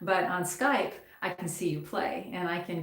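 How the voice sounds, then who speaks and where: There is audible room echo around a woman's fairly low voice. She keeps a moderate pace and fairly even intonation. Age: 60s. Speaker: guitar teacher. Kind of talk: live stream lesson, reading and answering comments. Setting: YouTube live stream. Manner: casual, with many fillers.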